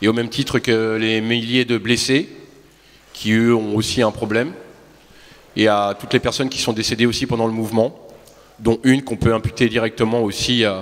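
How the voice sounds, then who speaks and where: A man with a medium pitch speaks at a moderate pace in a flat monotone. He leaves long, frequent pauses. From France. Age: 40s. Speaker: protester testifying. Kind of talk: testimony. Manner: halting.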